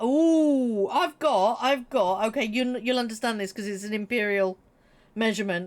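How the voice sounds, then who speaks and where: On a very clean recording with a silent background, a woman with a British accent speaks at a moderate pace, her fairly high voice animated in tone with lively intonation. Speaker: gaming streamer. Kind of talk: casual chat.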